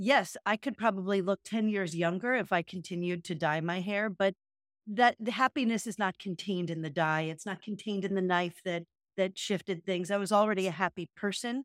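In a very clean recording with a silent background and a dry, close sound with no echo, a woman with a plain, everyday voice speaks at a fairly quick pace and medium pitch, with ordinary pitch variation. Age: 50s. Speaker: podcast co-host, retreat facilitator. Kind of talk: casual chat.

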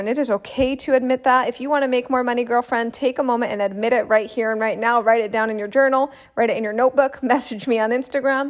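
A woman's high-pitched, animated voice at a very fast pace with hardly any pauses, on a very clean recording with a silent background. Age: 30s. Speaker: podcast host and business coach. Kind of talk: solo podcast monologue.

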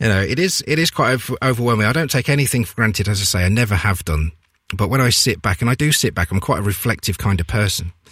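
A man of medium pitch at a very fast pace, with lively intonation. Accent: East Midlands. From Leicester, England. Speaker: radio presenter. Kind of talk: casual chat.

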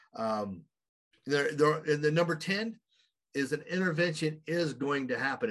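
A man talks in an American accent. His pace is moderate. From Oklahoma, US. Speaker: addiction interventionist and substance abuse counselor. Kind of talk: interview. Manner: halting, many fillers.

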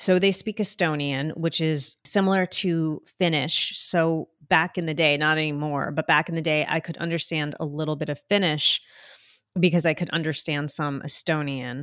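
A woman's very deep, low voice at a moderate pace, dry and close with no echo, on a very clean recording with a silent background. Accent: New Jersey. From New Jersey, US; born in Colombia. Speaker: international adoptee sharing her life story. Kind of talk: interview conversation. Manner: talkative, animated storyteller.

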